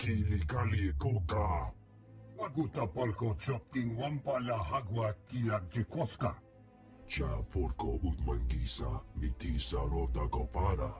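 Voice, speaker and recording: Putting on a character voice, a man speaks with a very deep, low pitch and very wide pitch swings while clear music plays in the background. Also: moderate pace. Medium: video game. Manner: speaks only alien gibberish language.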